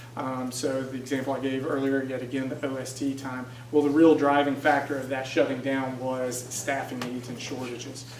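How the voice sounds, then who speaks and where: Barely pausing, a man with a medium pitch talks in a monotone, flat intonation, with audible room echo and noticeable background noise. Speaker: city budget director, guest speaker. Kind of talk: presentation. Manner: fast; hesitant, many fillers.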